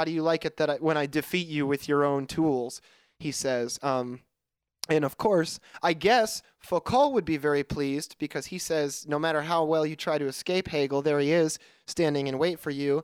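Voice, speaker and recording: In a plain, everyday voice, a man speaks at a fairly high pitch and moderate pace with fairly even intonation, the sound dry and close with no echo. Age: 20s. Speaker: podcast co-host. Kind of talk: casual chat. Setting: remote call.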